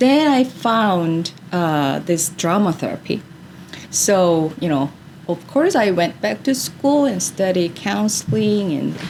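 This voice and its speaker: A woman with a Korean accent speaks very slowly at a fairly low pitch. Her pitch swings very widely, with noticeable background noise around her. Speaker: drama therapist. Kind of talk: interview. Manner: hesitant, many fillers.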